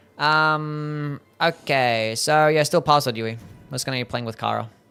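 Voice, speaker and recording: A man speaks at an even, moderate speed while music plays behind him. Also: fairly high pitch for a man. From Australia. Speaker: video game streamer. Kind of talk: live gameplay stream chat. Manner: casual, upbeat.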